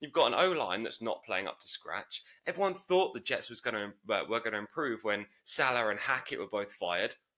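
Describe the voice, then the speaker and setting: A bright, sharp voice with a British accent, swooping through very wide pitch swings at a fairly quick pace. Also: man, medium pitch for a man. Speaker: podcast co-host. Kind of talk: casual sports chat.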